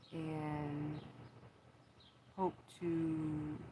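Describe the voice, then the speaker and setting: Noticeable background noise sits behind a woman's voice. Her pitch is very deep and low, and her intonation is monotone and flat. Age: 40s. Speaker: vlogger. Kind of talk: personal monologue.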